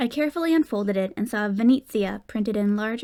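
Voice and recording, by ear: A natural voice reading aloud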